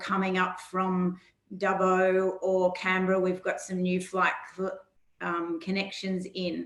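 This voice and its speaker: In an Australian accent, a woman talks fairly slowly at a medium pitch with monotone, flat intonation. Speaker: regional tourism organisation presenter. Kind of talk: webinar presentation. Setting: online webinar.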